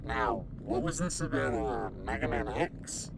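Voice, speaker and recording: Over loud background noise, a put-on character voice goes at a fairly slow pace. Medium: comedy sketch. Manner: naive, chirpy.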